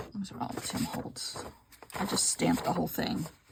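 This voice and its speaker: A woman is speaking. She mumbles her words. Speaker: mixed media crafter. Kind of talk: casual craft vlog. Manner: fast; mumbling.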